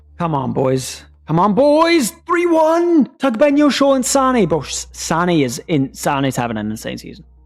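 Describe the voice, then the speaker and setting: A man talks at a fairly slow pace with hardly any pauses. Music plays in the background. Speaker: video game streamer. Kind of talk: live gameplay commentary. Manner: casual, animated.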